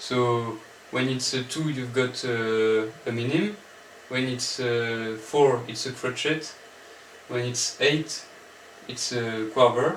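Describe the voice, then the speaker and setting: With a French accent and a medium pitch, a man speaks at a very slow pace with fairly even intonation and long, frequent pauses, amid light background noise and audible room echo. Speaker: music student applicant; music theory teacher. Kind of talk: audition presentation. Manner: halting, many fillers. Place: home room. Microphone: camera far.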